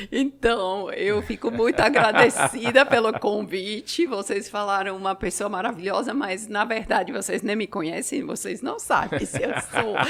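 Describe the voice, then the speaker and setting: With a Swiss accent, a woman speaks at a fairly slow pace in a fairly high pitch with ordinary pitch variation and hardly any pauses, over noticeable background noise. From Switzerland. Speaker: family constellation therapist. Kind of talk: casual podcast interview.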